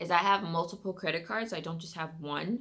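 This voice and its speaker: A woman with an American accent talks at a fairly quick pace. Her fairly low pitch shows ordinary variation. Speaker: lifestyle vlogger. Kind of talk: personal finance vlog, casual talk to camera. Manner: fast; casual, many fillers.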